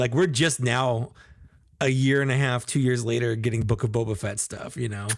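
This man has an ordinary speaking voice at medium pitch. He keeps a moderate pace and fairly even intonation. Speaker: podcast co-host. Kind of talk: casual chat. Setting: video call, live stream. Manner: joking, talkative.

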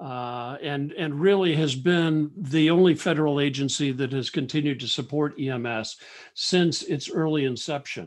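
A man's plain, everyday voice with an American accent, fairly high in pitch, at a fairly slow pace with ordinary pitch variation, in a very clean recording with a silent background. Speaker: government EMS office director. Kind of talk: formal interview.

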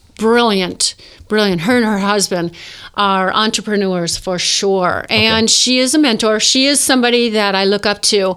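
Speaking at a fairly slow pace, a woman with a plain, everyday voice uses lively intonation at a fairly high pitch. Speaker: model and actress. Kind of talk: casual interview chat. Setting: live-streamed studio recording.

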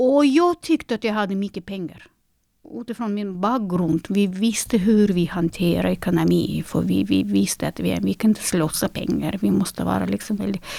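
A woman talks at a moderate speed on a very clean recording with total silence behind her. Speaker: concert pianist. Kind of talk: interview. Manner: halting.

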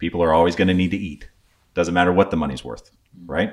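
The intonation stays mostly level. It comes from a man whose pitch is very deep and low. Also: very clean recording, silent background. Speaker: army veteran, prepping expert. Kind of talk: casual interview.

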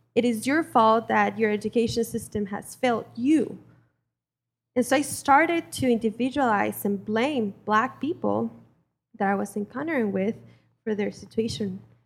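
A woman speaks with a Spanish accent at a moderate pace. Her pitch is fairly high, with ordinary variation. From Mexico. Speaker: community organizer. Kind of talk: personal testimony. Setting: church with congregation.

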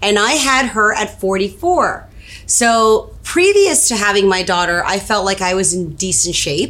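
A woman's medium-pitched voice, lively in intonation and fairly slow, over noticeable background noise. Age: 40s. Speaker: matchmaker. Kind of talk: casual health chat on a live stream. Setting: Facebook Live video stream.

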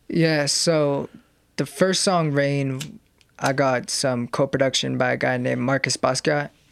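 An unremarkable speaking voice with an American accent moves at a moderate pace with fairly even intonation, in a dry, close sound with no echo on a very clean recording with a silent background. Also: man. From New Mexico, US (Santa Fe). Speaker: hip-hop producer and MC. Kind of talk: casual interview chat.

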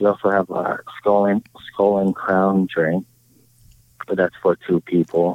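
With a Hawaiian accent, the speaker talks at a fairly slow pace in a flat monotone, leaving long, frequent pauses. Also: man, fairly low pitch for a man. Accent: Hawaiian local English. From Hawaii, Oahu. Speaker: tiki bar owner. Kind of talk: casual chat. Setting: outdoors in a park.

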